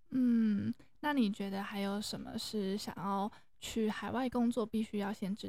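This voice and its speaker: The speech comes at a fairly slow pace, somewhat breathy and in a monotone, flat intonation. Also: woman. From Taiwan. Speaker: podcast host and freelance English teacher. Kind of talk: casual interview chat.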